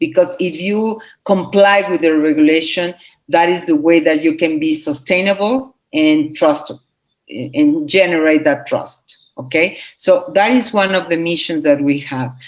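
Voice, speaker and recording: The speaker has a Spanish accent, ordinary pitch variation, and talks at a fairly slow pace. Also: woman, fairly low pitch for a woman. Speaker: legal nonprofit representative. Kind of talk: interview. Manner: halting, many fillers and repeats.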